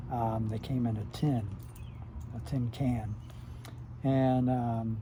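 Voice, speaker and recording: In an American accent, a man speaks at a very slow pace, his dark, mellow, somewhat breathy tone monotone and flat, with very even loudness and audible room echo. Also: medium pitch for a man. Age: 60s. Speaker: retired YouTuber reminiscing. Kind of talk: casual monologue. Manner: halting, many filler words.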